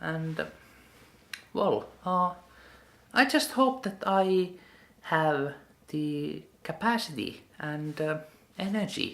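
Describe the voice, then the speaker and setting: Speaking with a non-native accent at a very slow pace, the voice leaves long, frequent pauses. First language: not English. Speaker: vlogger. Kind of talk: personal vlog monologue. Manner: halting.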